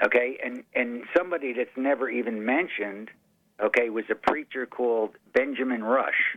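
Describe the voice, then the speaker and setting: In a plain, everyday voice, a man speaks at medium pitch with ordinary pitch variation. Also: moderate pace. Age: 60s. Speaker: caller. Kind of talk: phone-in call. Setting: phone call.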